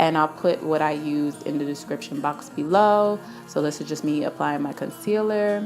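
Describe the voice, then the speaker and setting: Over music in the background, a woman speaks at a moderate pace in a very deep, low pitch with lively intonation. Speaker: beauty YouTuber. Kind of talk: makeup tutorial voice-over. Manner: casual, chatty.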